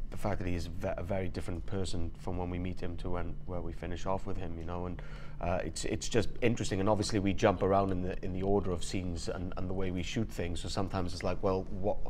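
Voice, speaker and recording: A man speaks at a very fast pace in a very deep, low pitch. His intonation is monotone and flat, with audible room echo. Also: hardly any pauses. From Wales. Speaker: voice actor. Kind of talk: casual interview chat. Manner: halting, many repetitions.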